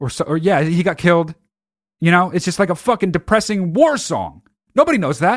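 A high-pitched man at a fairly quick pace, with an animated tone and lively intonation, over a quiet background. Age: 30s. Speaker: podcast host. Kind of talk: casual monologue.

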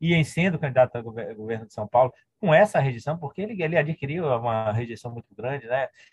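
Somewhat breathy, a man talks at a very fast pace with lively intonation and big swings in loudness. The sound is dry and close, with no echo. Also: medium pitch for a man. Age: 50s. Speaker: historian and university professor. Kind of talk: interview conversation.

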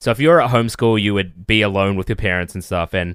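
On a very clean recording with a silent background, a man speaks at a fairly quick pace in a plain, everyday voice with ordinary pitch variation. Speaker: podcaster. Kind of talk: casual chat.

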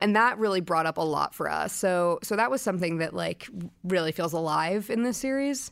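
In an American accent, a woman with a plain, everyday voice speaks at a fairly quick pace in a medium pitch with lively intonation. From US Northeast, Brooklyn. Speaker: TV showrunner and writer. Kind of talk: interview.

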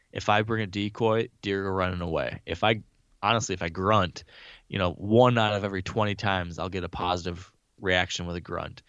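There is a quiet background as a man speaks in a plain, everyday voice. His pitch is fairly low, and his intonation stays fairly even. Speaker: hunter, bow hunting guest. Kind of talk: casual interview.

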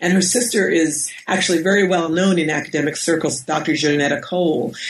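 In an American accent, a woman with an ordinary speaking voice talks at a moderate pace, her fairly low pitch held in fairly even intonation. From US Northeast, Westchester County, New York. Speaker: professor and author. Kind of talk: interview. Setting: at home.

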